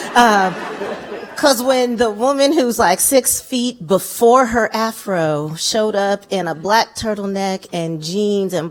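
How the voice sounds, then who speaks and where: A woman's lively intonation against noticeable background noise. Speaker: activist. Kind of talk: panel discussion. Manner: loud; animated.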